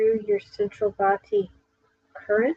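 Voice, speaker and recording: A soft-spoken woman at a very slow pace, fairly high in pitch, with a dark, mellow tone. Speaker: meditation guide. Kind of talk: guided meditation. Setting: live stream.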